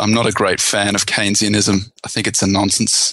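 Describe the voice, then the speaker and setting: This man talks fairly quickly in an Australian accent, his fairly low voice bright and sharp in tone with fairly even intonation. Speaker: investment author and researcher. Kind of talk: casual chat.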